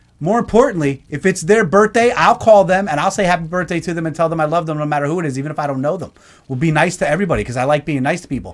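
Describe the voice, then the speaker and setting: A loud man speaks at a very fast pace with hardly any pauses, his pitch high for a man. His tone is animated, with ordinary pitch variation. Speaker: live show host. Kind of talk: casual live-stream chat.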